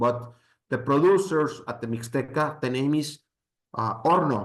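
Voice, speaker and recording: Pitched at a medium level, a man talks with a Spanish accent. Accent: Spanish accent, non-native English. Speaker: mezcal expert, presenter. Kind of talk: presentation with slides. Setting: live event with audience. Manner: halting.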